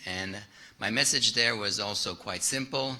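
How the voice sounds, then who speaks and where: A man with a French accent speaks in a bright, sharp tone amid audible room echo. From France. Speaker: private investor, keynote speaker. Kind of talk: keynote presentation. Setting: stage with audience. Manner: halting, many fillers.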